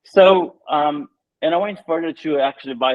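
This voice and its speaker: At a fairly quick pace, a man talks with a Brazilian accent. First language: Portuguese. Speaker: tech entrepreneur. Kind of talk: interview.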